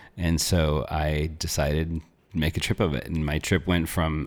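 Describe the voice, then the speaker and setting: Speaking at a moderate pace with an American accent, a man has a very deep, low pitch and vocal fry. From northern Arizona (small town). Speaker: natural health coach. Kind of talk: interview conversation. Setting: studio.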